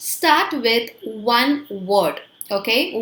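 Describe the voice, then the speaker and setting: In an Indian accent, a woman speaks at a high pitch with lively intonation. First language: Hindi. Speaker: English teacher. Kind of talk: tutorial.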